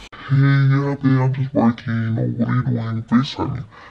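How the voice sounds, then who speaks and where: A man speaks in a put-on character voice at a medium pitch. His pace is fairly slow. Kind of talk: casual vlog chat. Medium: solo performance. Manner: casual. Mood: casual, distracted.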